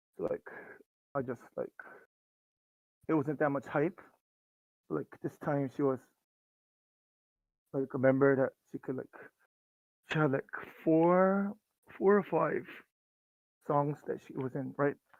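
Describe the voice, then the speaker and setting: Quiet and with a Korean accent, a man speaks with ordinary pitch variation in a dry, close sound with no echo. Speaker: fan guest. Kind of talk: casual chat. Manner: filler-heavy, uses 'like' constantly.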